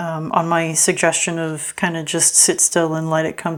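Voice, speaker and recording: A woman mumbles at a fairly slow pace. Her pitch is fairly low. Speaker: tarot reader. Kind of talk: tarot reading. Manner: halting, many fillers; mumbling.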